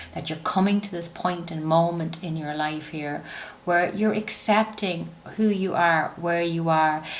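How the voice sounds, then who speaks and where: In an Irish accent, a woman speaks with a warm, soothing tone at a fairly low pitch, a fairly slow pace and fairly even intonation. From Ireland. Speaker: psychic medium, oracle card reader. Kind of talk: tarot and oracle card reading to camera.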